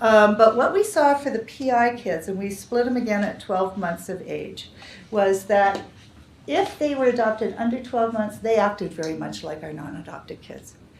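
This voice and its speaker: A woman speaks at a fairly high pitch and a moderate pace, with lively intonation. Her loudness swings widely, and room echo is audible. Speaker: developmental psychology researcher. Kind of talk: lecture.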